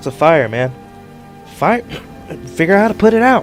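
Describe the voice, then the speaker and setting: Over clear background music, a man in a gruff, put-on character voice speaks at a fairly quick pace, his high pitch moving in very wide swings. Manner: yelling.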